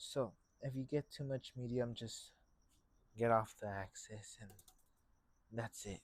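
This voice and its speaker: Quiet and medium in pitch, a man speaks at a fairly slow pace with fairly even intonation. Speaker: painting instructor. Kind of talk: tutorial. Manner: loud; trying to speak more quietly.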